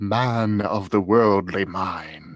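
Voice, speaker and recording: A man does a put-on character voice at a fairly low pitch. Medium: read story. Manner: solemn, slow.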